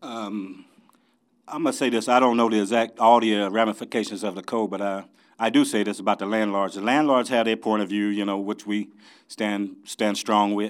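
At a fairly quick pace, a man with an American accent speaks with monotone, flat intonation and fairly low pitch in a very clean recording with a silent background. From Champaign, Illinois, US Midwest. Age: 60s. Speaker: mayoral candidate. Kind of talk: interview.

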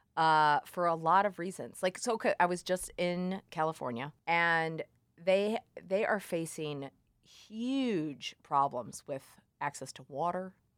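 A woman with an American accent speaks in a plain, everyday voice at a fairly low pitch and fairly slow pace, her intonation lively, on a very clean recording with a silent background. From Missouri, US Midwest (Columbia). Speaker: farmer. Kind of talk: interview.

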